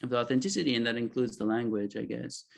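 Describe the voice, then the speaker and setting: A man of medium pitch speaks with a slight Israeli accent. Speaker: author. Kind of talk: panel discussion. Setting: video call. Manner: halting.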